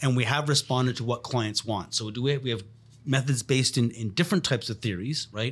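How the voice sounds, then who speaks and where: A man with a somewhat breathy voice talks at a very fast pace with ordinary pitch variation, in a very clean recording with a silent background. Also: medium pitch for a man. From Montreal, Canada. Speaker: podcast co-host, scientist. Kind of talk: casual chat.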